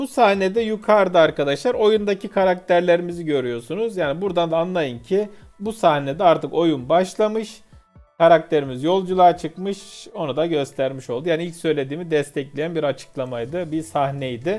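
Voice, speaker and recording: A man speaking at a moderate pace, faint music in the background. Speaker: video reviewer. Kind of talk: commentary.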